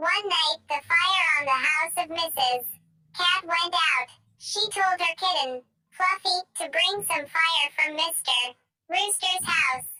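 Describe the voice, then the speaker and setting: A woman does a put-on character voice, squeaky and at extremely high pitch. She talks at a fairly slow pace in a dry, close sound with no echo. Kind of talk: bedtime story. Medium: read story.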